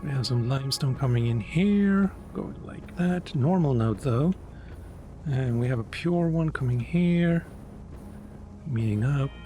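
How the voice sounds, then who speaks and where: With a non-native accent, this speaker uses lively intonation at a fairly slow pace, broken by long, frequent pauses. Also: man, fairly high pitch for a man. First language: not English. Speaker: gaming YouTuber. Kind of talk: let's play commentary. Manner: casual, hesitant with self-corrections.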